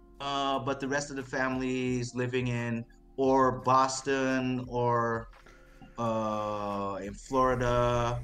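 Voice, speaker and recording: A man speaks very slowly at a medium pitch, in a flat monotone. Audible room echo and noticeable background noise fill the recording. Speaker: crypto project team member. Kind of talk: interview on live stream. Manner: halting, many repeated words.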